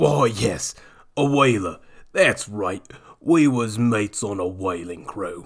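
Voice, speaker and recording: A man puts on a raspy character voice, fairly low in pitch, with lively intonation and a fairly slow pace. The recording is very clean, with a silent background. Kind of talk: rough, casual. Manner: smiling, friendly.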